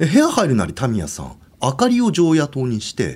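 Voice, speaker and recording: Here a man is talking. His pace is very fast. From Hokkaido, Obihiro. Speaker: ghost story teller. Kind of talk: ghost story telling. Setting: studio.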